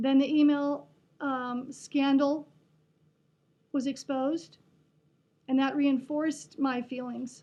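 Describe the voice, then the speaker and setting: A high-pitched woman with a Western Pennsylvania accent and a dark, mellow tone at a very slow pace. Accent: Western Pennsylvania American. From Pennsylvania, USA. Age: 60s. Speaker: retired music teacher. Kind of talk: personal political monologue to camera.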